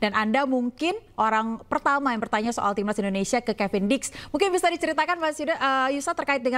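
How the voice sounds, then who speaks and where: A woman's high-pitched voice at a very fast pace, with lively intonation, very even loudness and hardly any pauses. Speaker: TV news anchor. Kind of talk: news interview. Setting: studio. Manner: formal. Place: studio.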